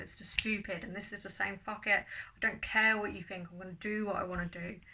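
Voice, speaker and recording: In a southern English accent, a woman talks at medium pitch with a bright, sharp tone and monotone, flat intonation. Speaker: tarot reader. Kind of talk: tarot reading monologue.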